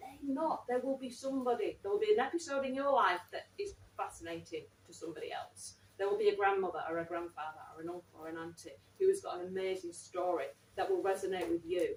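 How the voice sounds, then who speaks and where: Over noticeable background noise, a woman with a slight Manchester accent talks at a very fast pace. Her loudness swings widely. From Manchester, northern England. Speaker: writer in residence and event interviewer. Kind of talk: live public talk and interview. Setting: library event with live audience, live-streamed.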